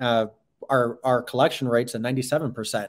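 A man's medium-pitched voice at a moderate pace, in a flat, monotone delivery. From New York. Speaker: real estate account executive. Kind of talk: interview.

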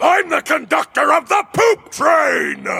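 At a fairly slow pace, a man shouts and bellows in a put-on character voice pitched extremely high. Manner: bellowing.

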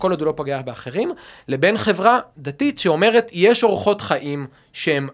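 The speaker talks at a moderate pace. Their pitch swings very widely. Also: man. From Israel, Rehovot (central Israel). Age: 30s. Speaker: civic dialogue initiative founder. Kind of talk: conversational dialogue.

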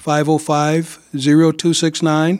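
A fairly high-pitched man with an American accent at a very slow pace. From East Saint Louis, Illinois. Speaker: youth nonprofit program director. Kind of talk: radio interview. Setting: radio studio. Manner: halting, many fillers.

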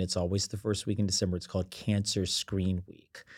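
On a very clean recording with a silent background, the speaker uses a normal speaking voice with fairly even intonation. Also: man. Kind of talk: casual interview chat.

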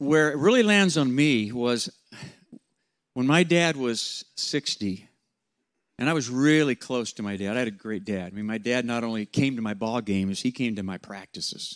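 A man with an unremarkable speaking voice talks at a moderate pace and medium pitch. His intonation is lively, and the recording is very clean with a silent background. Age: 60s. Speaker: pastor and leadership coach. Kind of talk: seminar talk to students.

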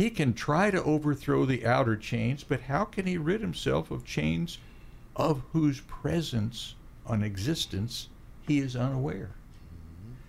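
Vocal fry marks this man's fairly slow speech, which swings very widely in pitch. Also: medium pitch for a man. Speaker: radio host. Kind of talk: casual interview chat. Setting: studio.

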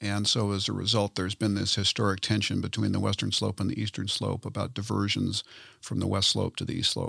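Very fast and monotone, a man's fairly low voice has a bright, sharp tone and vocal fry, recorded dry and close with no echo. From Southern California. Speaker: water utility CEO. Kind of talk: interview.

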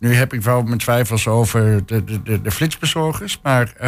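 Very slow delivery from a man with a medium-pitched voice. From Hengelo, Twente. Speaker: social entrepreneur. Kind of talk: radio panel discussion. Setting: studio. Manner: halting, many fillers.

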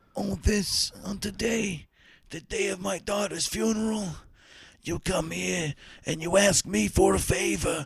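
A man's raspy, put-on character voice, high in pitch and at a fairly slow pace. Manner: solemn, gravelly.

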